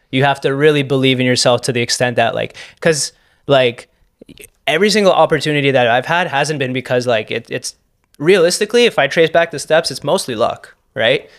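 A man talks at a fairly quick pace in a plain, everyday voice. His pitch is fairly high, with ordinary pitch variation. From Canada, Toronto. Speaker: podcast host. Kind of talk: casual chat.

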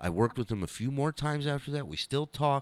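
Animated and lively in intonation, a man talks fairly quickly at a medium pitch. The recording is very clean and silent behind him, with a dry, close sound and no echo. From Israel, then Los Angeles. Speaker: comedian and former radio show regular. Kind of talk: casual interview chat. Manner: animated storytelling.

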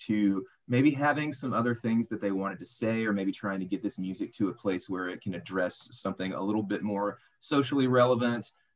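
With an American accent and a plain, everyday voice, a man speaks at a fairly quick pace in a fairly low pitch. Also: ordinary pitch variation. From US South, Arkansas. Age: 30s. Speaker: radio host and podcast co-host. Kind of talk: casual chat. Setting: video call.

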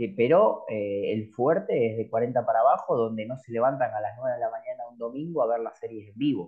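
A man's medium-pitched, normal speaking voice at a moderate pace. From Córdoba, Argentina. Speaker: streaming company representative. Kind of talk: interview.

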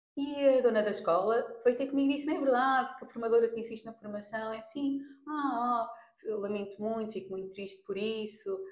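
Audible room echo surrounds a woman's voice, fairly high in pitch with ordinary pitch variation. She talks fairly quickly, her loudness swinging a lot. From Portugal. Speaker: makeup artist. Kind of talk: casual interview. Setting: in person, face to face.

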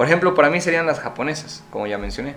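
This man's intonation is lively and his pace fairly quick. There is noticeable background noise along with audible room echo. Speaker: podcast co-host. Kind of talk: casual chat.

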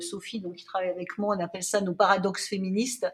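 A woman's medium-pitched voice comes through with noticeable noise behind it. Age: 50s. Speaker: children's magazine founder and editor. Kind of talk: interview conversation. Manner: hesitant, many fillers and repetitions.

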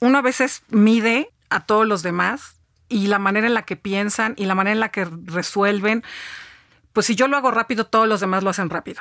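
An ordinary speaking voice moves at a fairly quick pace with ordinary pitch variation. The sound is dry and close with no echo, on a very clean recording with a silent background. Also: woman, fairly high pitch for a woman. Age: 50s. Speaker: business executive and author. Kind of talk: interview.

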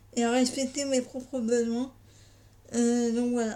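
A woman speaks in a dark, mellow tone at a high pitch, her intonation monotone and flat. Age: 20s. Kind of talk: personal testimony. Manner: halting, many hesitations.

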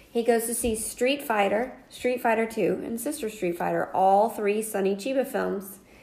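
A woman with an American accent and an ordinary speaking voice talks at a moderate pace with hardly any pauses, in a fairly high pitch with fairly even intonation. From North Carolina. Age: 40s. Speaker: podcast co-host. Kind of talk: casual chat.

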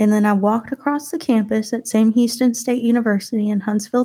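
A woman with a Texas accent speaks in a dark, mellow tone that is somewhat breathy. Her pitch is fairly high and her intonation fairly even. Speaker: podcast host, guest on another show.

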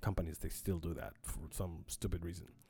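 A man speaking with music playing in the background. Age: 40s. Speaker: podcast host. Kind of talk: casual monologue. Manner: halting.

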